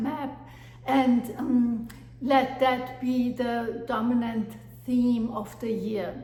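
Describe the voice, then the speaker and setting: A woman with a German accent speaks in a high pitch and monotone, flat intonation, with audible room echo and noticeable background noise. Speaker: life coach. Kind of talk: motivational talk. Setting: at home with dog. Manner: hesitant with fillers.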